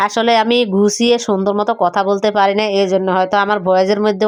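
Her medium-pitched voice stays monotone and flat as this woman speaks. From Noakhali, Bangladesh. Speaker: home cooking vlogger. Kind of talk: cooking vlog narration. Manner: casual, conversational.

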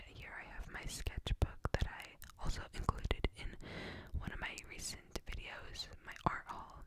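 The voice is a whisper at a moderate pace. Background noise is noticeable throughout. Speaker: ASMR creator. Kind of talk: ASMR room tour voice-over. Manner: whispered.

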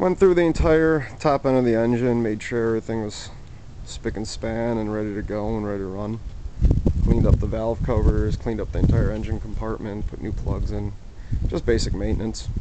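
Against loud background noise, a man talks at a fairly quick pace in a dry sound with no echo. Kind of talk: casual vlog chat. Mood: relaxed, enthusiastic. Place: street. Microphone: phone near.

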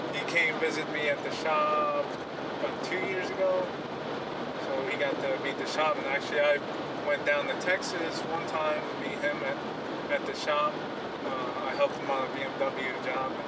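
Over loud background noise, a man talks with long, frequent pauses. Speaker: auto shop owner vlogger. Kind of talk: casual vlog chat. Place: car. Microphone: camera far.

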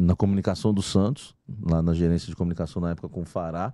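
A man speaks at a moderate pace in a very deep, low pitch with a dark, mellow tone and ordinary pitch variation, the sound dry with no echo and the background quiet. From Brazil, São Paulo state (Santo André); São Paulo state, Brazil. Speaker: sports journalist. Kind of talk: casual chat. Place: studio. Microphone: studio mic.

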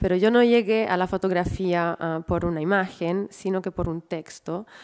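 A woman's dark, mellow voice at a medium pitch with ordinary pitch variation. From Italy. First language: Italian (speaking Spanish). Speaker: museum director and curator. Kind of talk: lecture.

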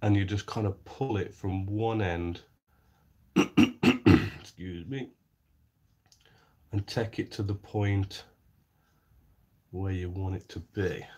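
Very slow and somewhat breathy, a man talks with fairly even intonation and long, frequent pauses. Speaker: scale model maker. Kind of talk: live-stream tutorial. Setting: live stream. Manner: casual, thinking aloud.

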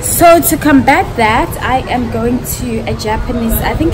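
A woman speaks over loud background noise. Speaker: travel vlogger. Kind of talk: casual vlog chat. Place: hall. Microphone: phone near.

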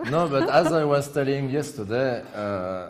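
A man is speaking here. He has a strong French accent. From France. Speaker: chess commentator. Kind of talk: live commentary. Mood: joking, playful anecdote. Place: studio. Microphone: headset.

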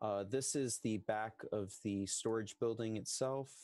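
Dry sound with no echo, a very slow pace, and a quiet background. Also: man. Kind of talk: presentation to committee. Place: home room. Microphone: headset.

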